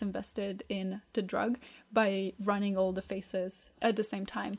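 Speaking at a fairly slow pace with a non-native accent, a woman is heard in a very clean recording with a silent background. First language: not English. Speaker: podcast co-host with medical science background. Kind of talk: casual chat.

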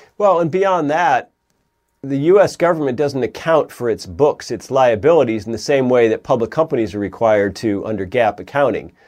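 Over a quiet background, a man talks at a fairly quick pace and medium pitch, his voice making very wide pitch swings. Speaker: think tank president. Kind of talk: interview.

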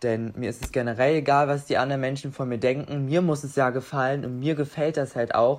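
Against a quiet background, a man with a normal speaking voice talks at a moderate pace, medium in pitch, with fairly even intonation. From Saxony-Anhalt, Germany. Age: young. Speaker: apprentice. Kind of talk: casual interview. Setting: video call.

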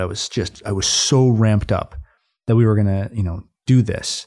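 On a very clean recording with a silent background, a man with an American accent speaks at a moderate pace, fairly low in pitch, with a dark, mellow tone and fairly even intonation. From Minnesota, near Minneapolis. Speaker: coffee shop co-founder. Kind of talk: interview. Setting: studio.

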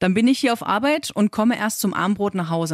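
With an ordinary speaking voice, a woman talks at a fairly quick pace with lively intonation. The recording is very clean, with a silent background and a dry, close sound with no echo. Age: 30s. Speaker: working mother, podcast co-host. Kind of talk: casual chat.

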